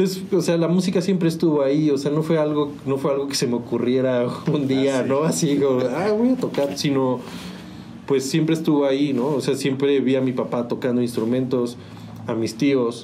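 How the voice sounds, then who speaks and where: A man at a moderate pace with very even loudness and ordinary pitch variation, amid noticeable background noise and audible room echo. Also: fairly high pitch for a man. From Mexico, San Juan del Río, Querétaro. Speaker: musician. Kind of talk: interview. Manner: halting, repeats words.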